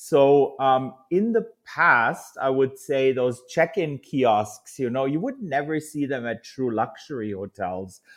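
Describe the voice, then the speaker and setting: With a German accent, a man at medium pitch talks at a very slow pace with hardly any pauses and lively intonation, the background quiet. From Germany. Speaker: hotel industry executive. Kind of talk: interview.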